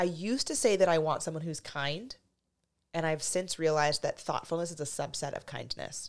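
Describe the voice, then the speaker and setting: A woman with a plain, everyday voice talks at a fairly quick pace and a fairly low pitch, with ordinary pitch variation and big swings in loudness, on a very clean recording with a silent background. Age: 30s. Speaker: dating coach and podcast host. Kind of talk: casual chat. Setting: studio.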